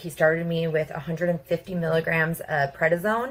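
A woman with a fairly low pitch delivers her words at a moderate pace. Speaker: patient. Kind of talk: testimony. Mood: earnest, recounting hardship. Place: home room. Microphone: phone near.

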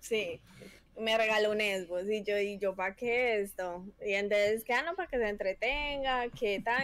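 In a Paisa Colombian accent, a woman with a fairly high pitch speaks at a fairly slow pace with ordinary pitch variation, in a dry sound with no echo. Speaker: competitive gamer. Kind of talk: casual chat. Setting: video call. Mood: relaxed, smiling. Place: home room. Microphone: headset.

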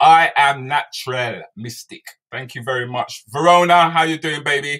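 Against a quiet background, a man speaks. His tone is bright and sharp, his pitch fairly high. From England. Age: 50s. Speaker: comedian and chat show host. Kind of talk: live-streamed chat show. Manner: animated. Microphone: webcam.

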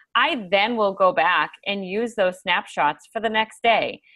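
Medium pitch from a woman, bright and sharp in tone, fairly slow in pace, with ordinary pitch variation

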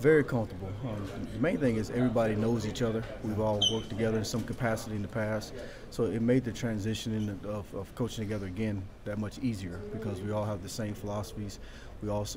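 A man rattles off his words very fast as noticeable background noise carries on behind him. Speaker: football coach. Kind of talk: interview answer. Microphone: phone near.

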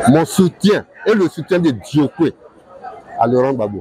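A man talks at a fairly slow pace with lively intonation and a fairly high pitch. His tone is dark and mellow with a slightly husky edge, and faint crowd noise sits in the background.

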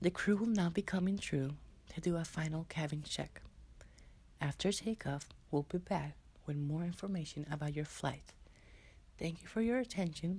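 At a moderate pace, a man speaks with a fairly high pitch, a slightly mellow tone and ordinary pitch variation.

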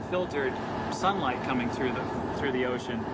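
Loud background noise surrounds a man speaking with ordinary pitch variation. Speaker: ship illustrator. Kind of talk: interview answer. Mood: enthusiastic, anticipating. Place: boat.

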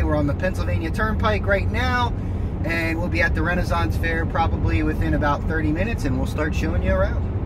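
A man rattles along at a very fast pace, his sound dry with no echo, while loud background noise fills the clip. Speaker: vlogger. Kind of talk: casual vlog chat. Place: car. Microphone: phone near.

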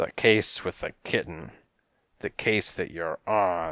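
Slow, gravelly and raspy, this put-on character voice has a bright, sharp tone and ordinary pitch variation. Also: man, low pitch for a man.

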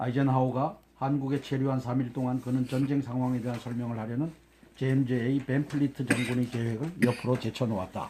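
Moving fairly quickly, the speaker uses a dark, mellow tone and a monotone, flat intonation. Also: man, medium pitch for a man. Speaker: interviewer. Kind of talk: reading aloud from a book, historical narration.

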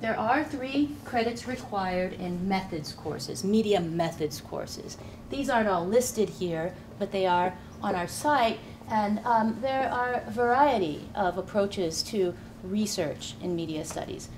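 Noticeable background noise sits behind a woman's voice. She talks at a fairly slow pace. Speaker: program director. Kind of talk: presentation. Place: classroom.

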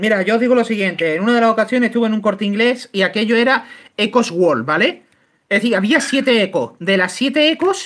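The speaker moves at a fairly quick pace with lively intonation and very even loudness. The recording is very clean, with a silent background. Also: man. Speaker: YouTuber, miniature painter. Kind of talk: live-stream painting tutorial and casual chat.

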